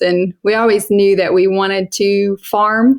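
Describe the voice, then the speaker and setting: A woman with an Eastern Kentucky accent. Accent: Eastern Kentucky Appalachian. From Eastern Kentucky (Johnson County). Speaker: homesteader and sheep farmer. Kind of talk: podcast interview. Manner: casual, conversational.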